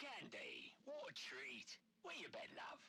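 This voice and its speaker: A man uses a raspy, put-on character voice at a fairly slow pace. Background noise is clearly audible. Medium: video game. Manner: smooth, controlled.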